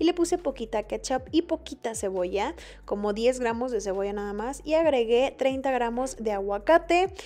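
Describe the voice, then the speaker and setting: Faint music plays in the background as a woman with a high pitch speaks using lively intonation. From Mexico. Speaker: fitness vlogger. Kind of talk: cooking vlog narration. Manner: casual, chatty. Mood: relaxed, friendly.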